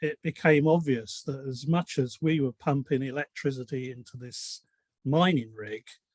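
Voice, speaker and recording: A man speaks with a British accent at a moderate pace and ordinary pitch variation. The sound is dry and close, with no echo. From UK. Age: 70s. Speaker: community member. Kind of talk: casual group discussion.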